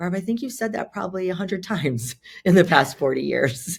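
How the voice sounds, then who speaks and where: Her pitch swinging very widely, a woman speaks. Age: 60s. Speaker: meditation teacher and author. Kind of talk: casual chat.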